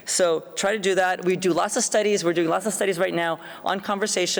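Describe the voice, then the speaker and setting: A woman at a fairly quick pace, medium in pitch with fairly even intonation, over noticeable background noise. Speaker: psychology professor giving keynote. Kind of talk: keynote lecture. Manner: fast.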